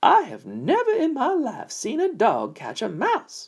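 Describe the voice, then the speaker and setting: A man uses a put-on character voice at an extremely high pitch, speaking at a moderate pace. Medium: read story.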